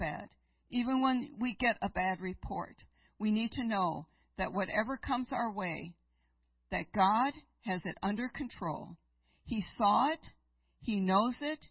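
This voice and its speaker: A woman speaks in a fairly high, somewhat breathy voice. Her pitch varies in an ordinary way. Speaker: guest preacher. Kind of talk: sermon. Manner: unhurried.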